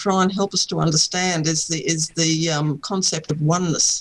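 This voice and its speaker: Speech moves at a fairly quick pace. It carries an Australian accent. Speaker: author, contact experiencer. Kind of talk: interview.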